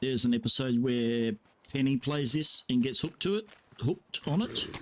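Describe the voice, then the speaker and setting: In an Australian accent, a man with a medium pitch keeps a relaxed tone, a moderate pace and very even loudness, with noticeable background noise behind him. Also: ordinary pitch variation. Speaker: video game streamer. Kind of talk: gameplay commentary. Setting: at computer with headset. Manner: casual, relaxed.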